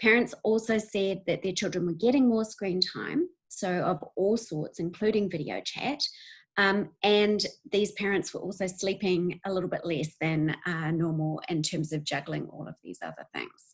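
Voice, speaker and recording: A somewhat breathy woman with a New Zealand accent and ordinary pitch variation. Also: medium pitch for a woman, moderate pace. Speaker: university researcher. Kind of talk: webinar presentation. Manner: hesitant, many fillers.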